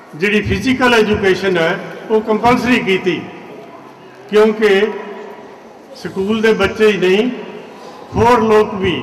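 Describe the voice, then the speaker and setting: A man's high-pitched voice with fairly even intonation, plus noticeable background noise. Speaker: school representative. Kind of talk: public speech at school event.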